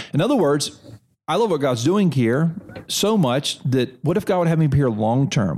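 A man speaks at a fairly quick pace with lively intonation. His is an unremarkable speaking voice. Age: 40s. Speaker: seminary president. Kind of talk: interview conversation. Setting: on a seminary campus.

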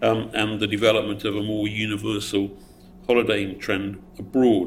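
With audible room echo, a man in a southeast English accent talks at a moderate pace. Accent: south-east English. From Essex, England. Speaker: politician. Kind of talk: audience Q&A answer; panel talk. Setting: event with live audience.

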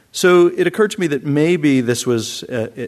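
Lively in intonation, a man speaks at a moderate pace in a plain, everyday voice. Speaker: professor. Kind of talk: lecture. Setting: stage with audience.

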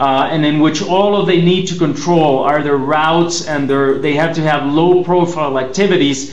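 Noticeable background noise runs behind a man whose fairly high pitch and very even loudness carry on with hardly any pauses. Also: fairly even intonation, moderate pace. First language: Spanish. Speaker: government security spokesman. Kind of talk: formal lecture presentation. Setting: video link from Mexico, remote.

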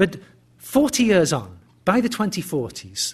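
This is a man speaking with a British accent. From England. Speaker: history professor. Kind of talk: lecture. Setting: stage with audience. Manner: halting.

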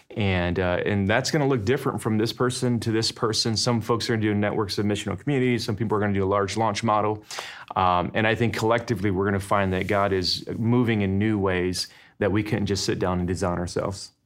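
Over music in the background, a man with a fairly low pitch talks at a very fast pace with fairly even intonation and very even loudness. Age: 40s. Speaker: missiologist and pastor. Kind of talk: casual chat.

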